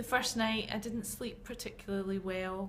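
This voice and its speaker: A woman speaks with a Glaswegian accent. Room echo is audible. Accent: Glaswegian Scottish. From Scotland, Glasgow. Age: 40s. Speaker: patient. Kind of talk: interview.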